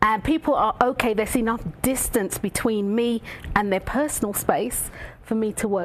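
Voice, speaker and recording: A woman's fairly high voice amid noticeable background noise. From London, England, of Jamaican heritage. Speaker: reflexologist. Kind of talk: talk show interview. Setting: studio. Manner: animated.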